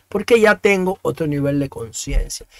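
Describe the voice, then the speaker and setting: A man's voice with lively intonation, dry and echo-free against a quiet background. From Dominican Republic. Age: 50s. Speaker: talk show host. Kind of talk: opinion monologue. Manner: halting, with frequent repetitions. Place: home room. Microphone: studio mic.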